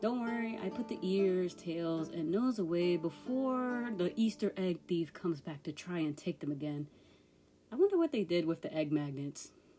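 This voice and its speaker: A woman's fairly low voice with lively intonation at a moderate pace. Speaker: art youtuber. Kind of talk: voiceover narration. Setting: home recording. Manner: mellow.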